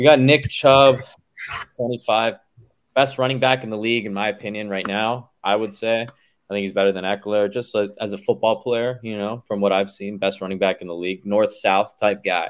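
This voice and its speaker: A man talks at a moderate pace in a fairly low pitch with ordinary pitch variation. It is a normal speaking voice. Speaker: fantasy football league commissioner. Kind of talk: casual chat.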